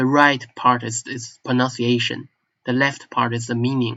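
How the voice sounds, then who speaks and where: At a fairly slow pace, a man with a strong Chinese accent speaks at a medium pitch with fairly even intonation. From northeast China (Manchuria). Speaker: language enthusiast vlogger. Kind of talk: casual monologue. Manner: halting, self-correcting.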